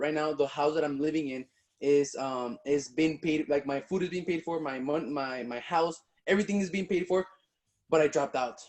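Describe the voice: Speaking at a moderate pace, a man has a fairly high pitch, a slightly mellow tone and ordinary pitch variation.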